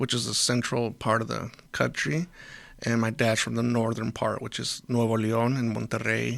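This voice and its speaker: A man speaks at a moderate pace and medium pitch with a Spanish accent, in a very clean recording with a silent background. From US, Mexican American family. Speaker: volunteer school builder and first responder. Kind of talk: casual interview. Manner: halting, many restarts.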